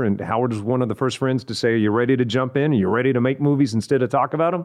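This is a normal speaking voice from a man with an American accent. He keeps a medium pitch and fairly even intonation. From West Texas (Odessa). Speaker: TV and radio entertainment personality. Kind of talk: casual interview chat. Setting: studio.

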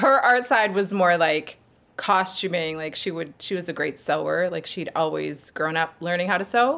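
An ordinary speaking voice with a Canadian accent moves at a fairly slow pace with ordinary pitch variation. The recording is very clean, with a silent background. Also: woman. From Canada, Sherwood Park near Edmonton, Alberta. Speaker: multidisciplinary artist and body painter. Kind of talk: casual interview chat.

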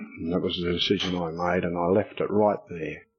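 Here an Australian accent comes from a man. He keeps a moderate pace. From Queensland, Australia. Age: 30s. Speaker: recovering alcoholic speaker. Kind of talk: testimony. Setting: stage with audience.

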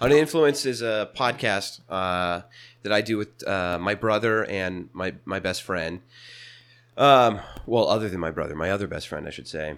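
In a very clean recording with a silent background, a man with an ordinary speaking voice talks in an American accent. His pace is moderate, his pitch fairly low and his intonation lively. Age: 20s. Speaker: small business owner. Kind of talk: casual chat. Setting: company bathroom.

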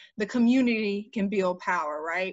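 A woman with an American accent talks at a moderate pace and medium pitch. It is a plain, everyday voice. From Jacksonville, Florida (US South). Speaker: political candidate, community organizer. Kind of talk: interview.

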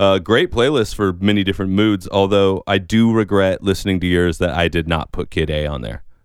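With a very deep, low pitch and ordinary pitch variation, a man speaks at a fairly quick pace with hardly any pauses. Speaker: podcast co-host and musician. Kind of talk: casual chat.

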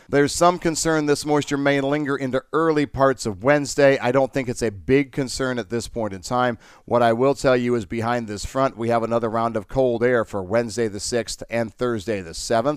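Over a silent background on a very clean recording, a man with an American accent and a medium pitch speaks at a fairly quick pace in an ordinary speaking voice, with ordinary pitch variation and hardly any pauses. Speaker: meteorologist. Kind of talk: weather forecast.

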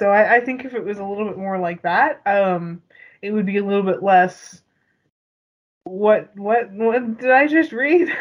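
A woman with an ordinary speaking voice talks at a moderate pace and medium pitch, with lively intonation. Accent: Canadian. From Canada. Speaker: podcast co-host. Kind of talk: casual chat.

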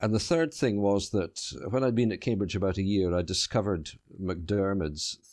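A man talks in an Edinburgh accent. His pitch variation is ordinary. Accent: Scottish (Edinburgh). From Scotland, Edinburgh. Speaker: novelist. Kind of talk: interview. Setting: remote interview from home. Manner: halting.

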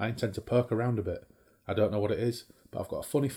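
This natural reading voice shows ordinary pitch variation.

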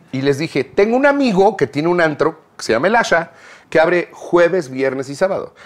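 Very wide pitch swings mark this fairly quick delivery. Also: man, high pitch for a man. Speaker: musician and producer. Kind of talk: casual chat.

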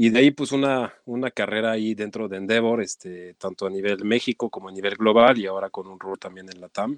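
Fairly low-pitched man at a fairly quick pace with hardly any pauses, fairly even intonation and big swings in loudness, against a quiet background. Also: dry, close sound with no echo. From France. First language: French (speaking Spanish). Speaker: nonprofit executive. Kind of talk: interview.

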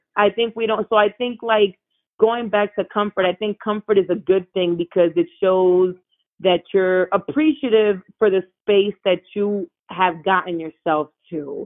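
A woman's plain, everyday voice with an American accent, medium pitch, ordinary pitch variation and a fairly slow pace. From Miami, Florida, Cuban American family. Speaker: television producer and talent manager. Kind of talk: casual interview.

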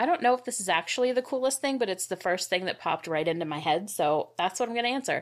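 Fairly high in pitch, a woman talks at a very fast pace with hardly any pauses and very wide pitch swings, in a very clean recording with a silent background. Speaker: graphics designer. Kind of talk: casual interview chat.

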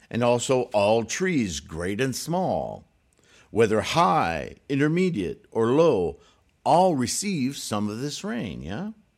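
A medium-pitched man's voice at a very slow pace with very wide pitch swings, in a very clean recording over a silent background. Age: 60s. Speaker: Buddhist teacher. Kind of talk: lecture. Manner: halting.

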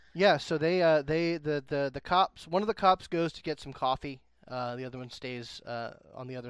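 A man with a normal speaking voice at a fairly quick pace, with ordinary pitch variation, in a very clean recording over a silent background. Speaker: game storyteller. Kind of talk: tabletop roleplaying game session, narrating and chatting.

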